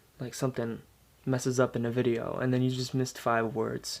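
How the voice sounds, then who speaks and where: A man at medium pitch and a moderate pace. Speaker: amateur speaker practicing persuasive speech. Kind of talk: persuasive speech to camera, casual.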